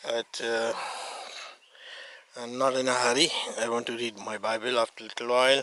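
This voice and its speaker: Over noticeable background noise, a man talks at a fairly quick pace and a medium pitch in a flat monotone, broken by long, frequent pauses. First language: Arabic. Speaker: hiker vlogger. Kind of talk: casual vlog narration. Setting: outdoors on a mountain hike. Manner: halting, with self-corrections.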